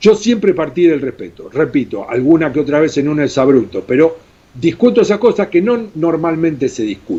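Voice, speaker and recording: Here a man with a fairly high pitch swings very widely in pitch. His tone is dark and mellow, and his pace moderate. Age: 60s. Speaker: former goalkeeper, journalist and radio host. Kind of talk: interview. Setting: video call. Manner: animated.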